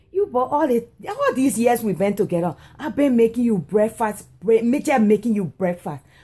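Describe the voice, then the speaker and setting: A woman's voice with lively intonation, a dark, mellow tone and a somewhat breathy quality. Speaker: comic skit performer. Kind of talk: comedic complaint addressed to partner. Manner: drowsy, whiny complaint from bed. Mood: playful exasperated complaining. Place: home room. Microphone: phone near.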